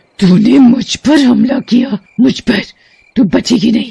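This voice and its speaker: A woman puts on a raspy, high-pitched character voice. She speaks at a fairly slow pace. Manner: menacing, threatening.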